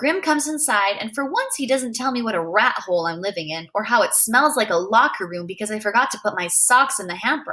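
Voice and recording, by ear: The speaker reads aloud in a natural voice, intonation lively throughout.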